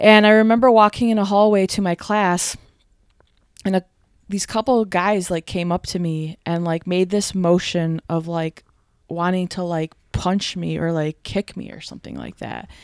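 A woman with a plain, everyday voice speaks at medium pitch and a moderate pace, in an American accent. Her intonation is fairly even, and the sound is dry and close with no echo. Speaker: podcast guest. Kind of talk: casual chat. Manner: relaxed, chatty.

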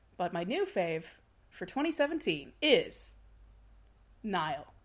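A woman speaks in a somewhat breathy, fairly high voice. Her pitch swings very widely. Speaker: writer and Twitter personality. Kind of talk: casual chat.

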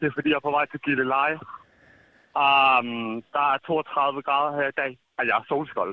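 A man's fairly slow delivery with long, frequent pauses. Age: 20s. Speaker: listener leaving voicemail. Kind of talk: voicemail message. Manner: animated.

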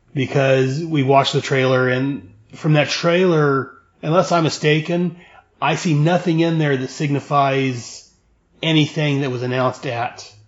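A man with an ordinary speaking voice keeps his intonation fairly even, talking at a medium pitch and a moderate pace. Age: 40s. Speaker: podcast host. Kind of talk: casual chat.

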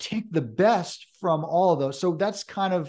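A man with an American accent talks at a moderate pace, and his pitch varies in an ordinary way. He has an unremarkable speaking voice, and the background is quiet. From Hudson River Valley, New York. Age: 40s. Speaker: horror author. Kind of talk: casual interview.

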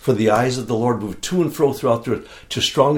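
The man's voice sits at a medium pitch and is somewhat breathy. He talks at a fairly quick pace. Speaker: church small-group leader. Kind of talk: casual interview chat.

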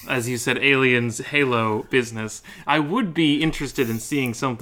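An unforced reading voice, its pitch moving in an ordinary way

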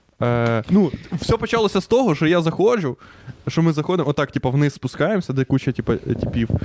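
His loudness very even, a man speaks with a fairly high pitch that makes very wide swings. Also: fairly quick pace. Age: 20s. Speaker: podcast co-host. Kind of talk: casual chat.

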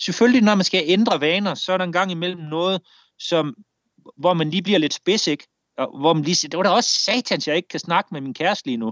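Speaking at a very fast pace, a man uses a high voice with ordinary pitch variation. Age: 40s. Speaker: war veteran. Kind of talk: interview storytelling. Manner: halting.

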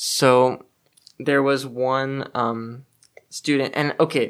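A man with a Californian accent speaks at medium pitch in a very clean recording with a silent background. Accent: Californian American English. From Los Angeles, California. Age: 20s. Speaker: student. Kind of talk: casual chat.

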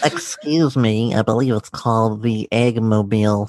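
A put-on character voice at a moderate pace. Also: man, medium pitch for a man. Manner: pedantic, obnoxious.

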